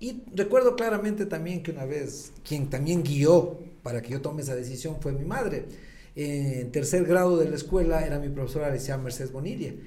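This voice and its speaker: Audible room echo surrounds a man's voice. He speaks fairly quickly with a fairly high pitch. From Ecuador, Latacunga. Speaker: gynecologist and clinic owner. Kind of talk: podcast interview.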